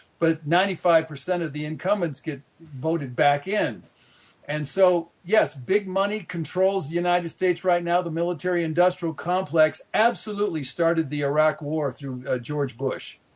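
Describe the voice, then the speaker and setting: Here a man speaks at a moderate pace in a high pitch. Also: ordinary pitch variation. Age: 60s. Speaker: author and population activist. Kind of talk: interview. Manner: halting, many repetitions and fillers; animated.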